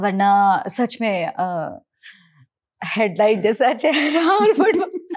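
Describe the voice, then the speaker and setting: This woman's voice sits fairly high and moves through very wide pitch swings. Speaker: television actress and singer. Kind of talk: interview conversation.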